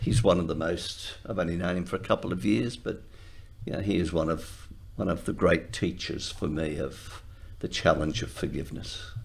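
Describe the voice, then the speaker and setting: In a room with audible echo, a man speaks at a moderate pace in a very deep, low pitch with vocal fry and ordinary pitch variation. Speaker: retired lawyer. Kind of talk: interview.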